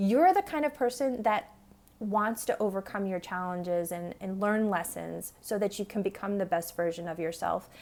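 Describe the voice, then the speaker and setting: The woman talks in a medium register, with typical movement in her pitch. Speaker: tarot reader. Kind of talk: tarot reading. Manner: fast; halting, many fillers.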